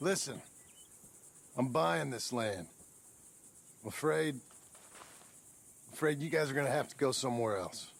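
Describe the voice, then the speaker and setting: Putting on a gruff character voice at a medium pitch, a man speaks at a moderate pace with lively intonation, big swings in loudness, and long, frequent pauses. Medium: video game. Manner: terse, gruff.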